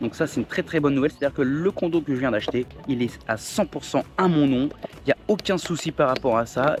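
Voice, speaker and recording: Over music in the background, a man with a fairly high pitch talks very fast with ordinary pitch variation. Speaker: vlogger. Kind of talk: vlog. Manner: casual, hesitant with fillers.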